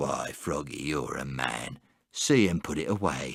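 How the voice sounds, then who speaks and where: A man's growling, put-on character voice, pitched very deep and low. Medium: read story. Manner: roaring, hearty.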